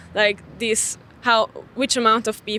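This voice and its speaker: A woman speaks with a Hungarian accent. Her pace is very slow and her intonation monotone and flat. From Hungarian minority in Cluj, Romania. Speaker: street interview participant. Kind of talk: casual debate. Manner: halting, many fillers.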